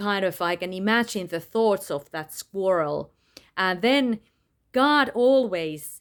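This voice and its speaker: A woman talks at a very slow pace with a medium pitch. Her intonation is lively. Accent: non-native. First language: not English. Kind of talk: personal testimony monologue. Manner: halting, many fillers.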